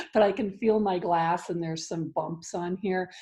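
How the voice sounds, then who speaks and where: The voice is somewhat breathy with a dark, mellow tone. Its intonation stays fairly even. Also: woman. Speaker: ministry leader and parenting coach. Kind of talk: guided grounding exercise. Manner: calm, instructive.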